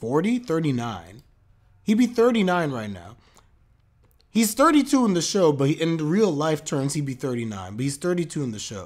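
At a very slow pace, a man talks with very wide pitch swings and big swings in loudness. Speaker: streamer reacting to anime. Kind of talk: casual reaction commentary. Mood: amused, chatty. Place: home room.

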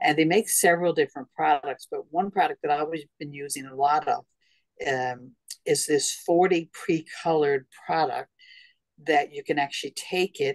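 Against a quiet background, the speaker goes at a moderate pace. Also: woman. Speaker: presenter. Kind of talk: informal presentation to club members. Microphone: video call.

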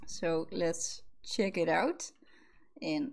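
A woman speaks in a Dutch accent, her voice somewhat breathy. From Netherlands. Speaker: gaming YouTuber; gaming content creator. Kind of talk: gameplay commentary. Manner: animated. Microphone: studio mic.

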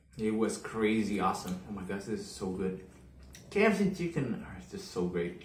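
Light background noise and audible room echo accompany a man speaking at a moderate pace. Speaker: food vlogger. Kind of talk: casual vlog chat. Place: home room. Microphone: phone near.

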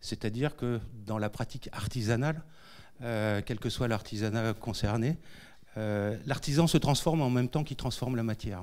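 A man speaks at a moderate pace with ordinary pitch variation and a medium pitch. It is a plain, everyday voice. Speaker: education center director, co-moderator. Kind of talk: public event introduction. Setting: lecture hall with audience. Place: hall. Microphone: handheld.

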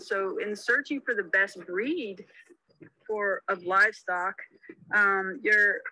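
Her tone bright and sharp, a woman speaks at a medium pitch with ordinary pitch variation.

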